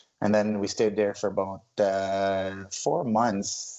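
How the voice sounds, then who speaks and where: Here a man speaks with an Arabic accent. His pitch is fairly low. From Lebanon, moved to Ontario, Canada at eleven. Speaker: hairdresser and salon owner. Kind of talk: casual chat. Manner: halting, many fillers.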